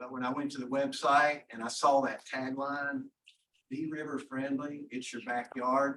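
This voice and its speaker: A man with a West Virginia accent speaks fairly slowly in a fairly high pitch, his tone bright and sharp. His intonation is monotone and flat, while his loudness swings widely. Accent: southern West Virginia. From southern West Virginia. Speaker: foundation representative. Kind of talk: welcome speech. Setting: meeting room.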